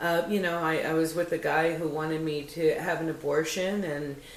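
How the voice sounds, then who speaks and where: Noticeable background noise sits behind a woman's voice. She speaks at a fairly slow pace with a very deep, low pitch. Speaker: action star, motivational speaker and host. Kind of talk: motivational talk to camera about parenting. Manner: candid, reflective, personal.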